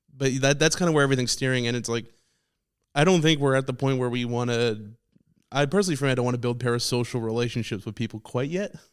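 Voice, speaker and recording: In a very clean recording with a silent background, a man of medium pitch speaks very fast with ordinary pitch variation. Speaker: comedian and podcaster. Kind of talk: casual chat. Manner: loud, projecting voice.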